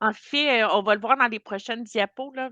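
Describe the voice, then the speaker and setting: A woman's bright, sharp tone at a fairly high pitch, with fairly even intonation, dry and close with no echo over a quiet background. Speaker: corporate trainer. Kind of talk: webinar training session.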